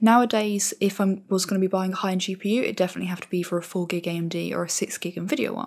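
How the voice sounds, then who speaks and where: A woman talks at a very fast pace. She is soft-spoken. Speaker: tech YouTuber. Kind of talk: tutorial.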